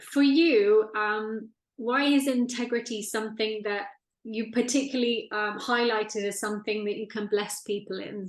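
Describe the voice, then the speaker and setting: Keeping her intonation fairly even, a woman with a normal speaking voice and a fairly high pitch talks at a moderate pace. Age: 40s. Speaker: interviewer, spiritual channel host. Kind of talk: interview.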